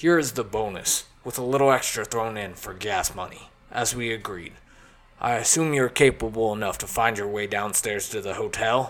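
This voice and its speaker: A man's put-on character voice, medium in pitch, at a moderate pace with ordinary pitch variation. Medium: read story. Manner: smooth, commanding, genial.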